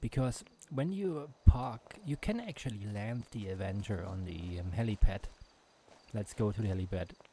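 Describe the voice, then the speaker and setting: Big swings in loudness mark this man's fairly low, somewhat breathy voice. His pitch variation is ordinary. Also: moderate pace. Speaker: gaming YouTuber. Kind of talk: gameplay commentary. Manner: halting, many fillers and restarts.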